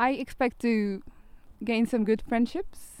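Very slow in pace, a woman speaks at a fairly high pitch with a dark, mellow tone and ordinary pitch variation. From Turkey, Istanbul. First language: Turkish (speaking German). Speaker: youth project volunteer. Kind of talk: interview.

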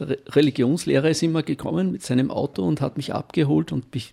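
This man talks at a moderate pace, his medium-pitched voice dark and mellow, with vocal fry. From Austria, Styria (Knittelfeld), then Upper Austria. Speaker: retired teacher. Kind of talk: life story interview. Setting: studio.

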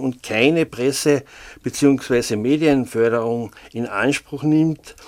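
The recording is very clean, with a silent background. Speech moves at a very slow pace with fairly even intonation. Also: man. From Austria, Carinthia (St. Veit area). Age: 60s. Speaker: freelance local journalist. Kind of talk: casual interview. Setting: studio. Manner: hesitant, many filler sounds.

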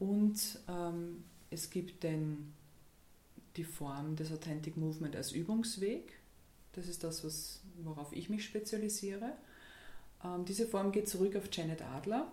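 A woman speaks very slowly in a fairly low, somewhat breathy voice with a dark, mellow tone and ordinary pitch variation. Long, frequent pauses and audible room echo mark the clip. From Austria, Graz (Styria). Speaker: dance and movement therapist. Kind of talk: radio interview. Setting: radio studio.

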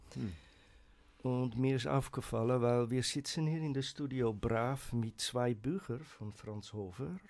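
The recording is very clean, with a silent background. A man speaks very slowly at a medium pitch with ordinary pitch variation. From Netherlands. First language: Dutch (speaking German). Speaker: writer and poet. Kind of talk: casual radio chat. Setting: radio studio.

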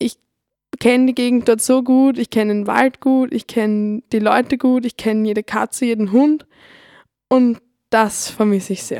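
In a very clean recording with a silent background and a dry, close sound without echo, a woman with a dark, mellow tone and fairly high pitch talks at a moderate pace with fairly even intonation and long, frequent pauses. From Lower Austria, Neulengbach. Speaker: radio volunteer. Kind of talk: scripted personal narration.

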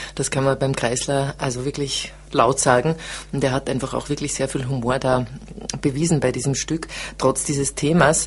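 Flat, monotone intonation runs at a moderate pace over noticeable background noise. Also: woman, very deep, low pitch for a woman. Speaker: theatre director. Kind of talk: interview. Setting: studio.

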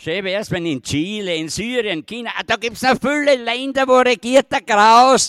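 A man shouts at an extremely high pitch with lively intonation and a moderate pace. The sound is dry and close with no echo, on a very clean recording over a silent background. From Styria, Austria. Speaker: slam poet, dialect author. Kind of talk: poetry performance. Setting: outdoor stage with audience. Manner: rising to shouting rage.

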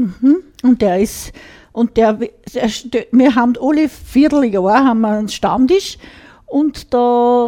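With an Upper Austrian accent, a woman talks at a fairly slow pace in a fairly high voice. Her tone is dark and mellow, with ordinary pitch variation. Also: dry, close sound with no echo. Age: 60s. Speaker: radio co-host, dialect club member. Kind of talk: casual radio chat. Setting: radio studio.

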